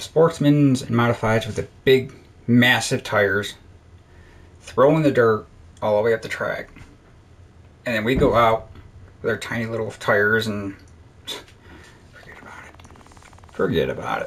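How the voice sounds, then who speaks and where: The speech is mumbled, with long, frequent pauses and big swings in loudness. It moves at a moderate pace with ordinary pitch variation. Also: man, medium pitch for a man. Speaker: gaming video creator. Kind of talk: casual gameplay commentary. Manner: mumbling.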